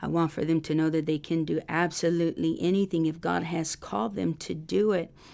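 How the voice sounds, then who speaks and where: An American-accented woman speaks fairly quickly in a very deep, low pitch with a dark, mellow tone. Her loudness stays very even, her pitch varies in an ordinary way, and the recording is very clean with a silent background. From Texas, Rio Grande Valley border area. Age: 40s. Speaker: missionary and minister's wife. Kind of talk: interview testimony.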